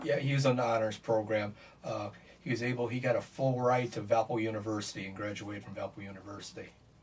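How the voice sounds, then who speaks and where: Against noticeable background noise, a man with an American accent talks very fast at medium pitch with fairly even intonation. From US Midwest, Michigan City, Indiana. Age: 70s. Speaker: bereaved father. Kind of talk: interview. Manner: halting.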